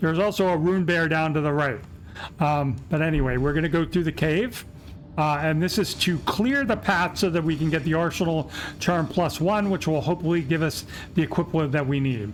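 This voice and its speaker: Here is a man with a normal speaking voice and a fairly high pitch. He moves at a fairly quick pace with very even loudness and ordinary pitch variation. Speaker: gaming youtuber. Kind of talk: gameplay walkthrough commentary. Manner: casual with fillers.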